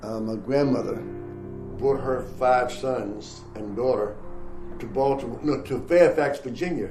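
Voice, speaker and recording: Over music in the background, a man talks at a very slow pace with a medium pitch and ordinary pitch variation. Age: 80s+. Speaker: retired firefighter and Methodist pastor. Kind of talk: interview answer.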